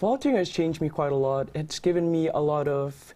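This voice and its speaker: A man talks with an ordinary speaking voice at a moderate pace. His pitch is fairly high with ordinary pitch variation. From Indonesia, then Canada (Mississauga area). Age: young. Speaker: student musician and volunteer. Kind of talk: TV interview.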